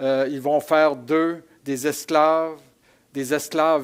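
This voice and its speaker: The recording is very clean, with a silent background. A man with a fairly high pitch speaks at a very slow pace with fairly even intonation. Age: 60s. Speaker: pastor. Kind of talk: sermon. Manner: hesitant, many repetitions.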